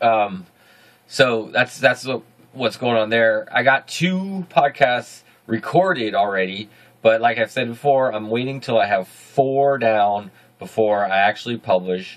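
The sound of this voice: A man's medium-pitched voice, fairly slow in pace, with ordinary pitch variation.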